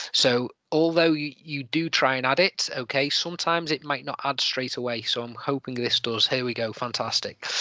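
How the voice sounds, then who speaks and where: A man with a slight Liverpool accent, fairly high pitch and ordinary pitch variation, at a moderate pace with hardly any pauses, dry sound with no echo and a quiet background. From Liverpool, England. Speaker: teacher presenting an edtech webinar; webinar presenter, trainer. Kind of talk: tutorial. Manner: hesitant, many fillers. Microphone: video call.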